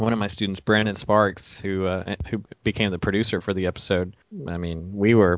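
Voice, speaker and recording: Fairly quick and fairly even in intonation, this is an ordinary speaking voice. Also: man. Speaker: web series director and creator. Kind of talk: casual chat. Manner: joking, playful.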